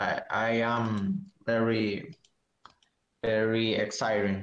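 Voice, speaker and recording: At a very slow pace, a man with a Spanish accent speaks at a medium pitch with ordinary pitch variation. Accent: non-native, Spanish. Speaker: tournament champion, card game player. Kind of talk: casual interview. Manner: halting, hesitant broken English.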